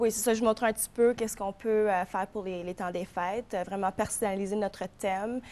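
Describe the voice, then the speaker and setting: The delivery is fairly quick, with a monotone, flat intonation. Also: woman, medium pitch for a woman. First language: English (speaking French). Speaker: florist and shop owner. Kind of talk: TV interview.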